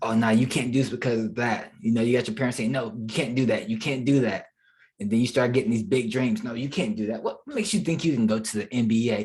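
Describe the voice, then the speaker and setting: A man's somewhat breathy, medium-pitched voice with an American accent, ordinary pitch variation and a very fast pace. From Charlotte, North Carolina. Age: 20s. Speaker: digital marketing entrepreneur. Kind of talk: podcast interview answer.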